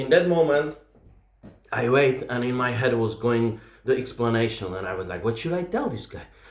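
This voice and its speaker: In an animated tone, a man with an Eastern European accent speaks amid audible room echo. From Czech Republic. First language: Czech. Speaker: comedian. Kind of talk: stand-up storytelling.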